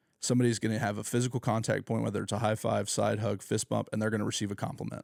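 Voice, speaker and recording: Using vocal fry and an American accent, a man talks at a very fast pace in a fairly low voice with monotone, flat intonation. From Oklahoma, Tulsa area. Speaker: youth pastor. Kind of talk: podcast interview. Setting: home garage. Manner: casual, filler-heavy.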